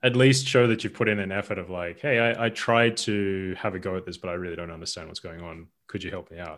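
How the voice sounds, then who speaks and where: On a very clean recording with a silent background, a man speaks with an Australian accent. His pitch is very deep and low, and his pace is very fast. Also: ordinary pitch variation, hardly any pauses. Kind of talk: casual chat.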